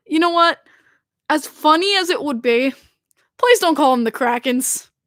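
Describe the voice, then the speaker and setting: With a Long Island accent, the speaker moves at a moderate pace with very wide pitch swings in a dry, close sound with no echo. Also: woman, high pitch for a woman. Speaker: hockey podcast host. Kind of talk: casual chat. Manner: animated.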